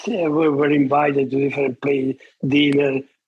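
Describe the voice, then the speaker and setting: A non-native accent is heard. The speech moves at a moderate pace. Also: man. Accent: foreign. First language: not English. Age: 80s+. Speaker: retired surgeon, author. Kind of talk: interview. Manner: halting.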